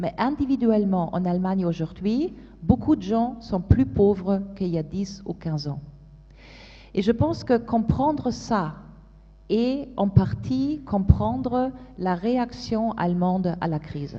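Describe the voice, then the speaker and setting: A woman with a German accent speaks very slowly in a somewhat breathy, dark, mellow tone, with very wide pitch swings and big swings in loudness. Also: medium pitch for a woman. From Germany. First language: German (speaking French). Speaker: policy expert panelist. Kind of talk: panel discussion. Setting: conference stage with audience. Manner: halting, many hesitations.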